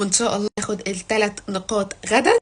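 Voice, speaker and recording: A woman's fairly high, playful voice with fairly even intonation. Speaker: football vlogger. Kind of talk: casual vlog. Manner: quiet, lowered voice; chatty, playful.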